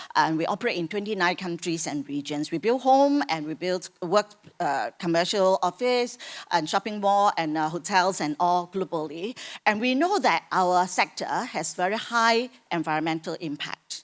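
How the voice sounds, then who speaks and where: At a moderate pace, a woman speaks at medium pitch with lively intonation. The recording is very clean, with a silent background. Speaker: corporate sustainability expert. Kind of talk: panel discussion. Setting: conference stage with audience. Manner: loud.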